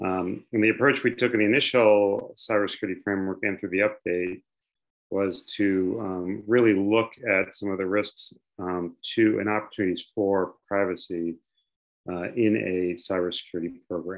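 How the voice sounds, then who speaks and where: A man with a fairly low pitch talks at a moderate pace in an unremarkable speaking voice. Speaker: government policy advisor. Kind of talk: webinar discussion. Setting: video call.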